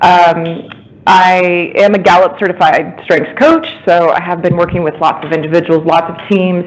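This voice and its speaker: Over noticeable background noise, a woman speaks at a moderate pace in a fairly low pitch with monotone, flat intonation. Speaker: strengths coach. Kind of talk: talk to a meetup group. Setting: room with audience, phone listeners. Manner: loud.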